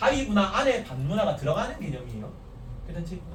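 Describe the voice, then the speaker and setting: Room echo and noticeable background noise surround a man who speaks very fast with a fairly high pitch. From Korea, Gyeongsang region. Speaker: teacher. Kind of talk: lecture. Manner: casual, animated.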